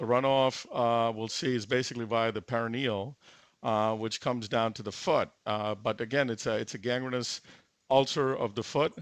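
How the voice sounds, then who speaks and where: A man speaks at a moderate pace against a quiet background. His medium pitch comes with fairly even intonation. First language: not English. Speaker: interventional cardiologist performing a live case. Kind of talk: live case commentary. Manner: halting, many fillers.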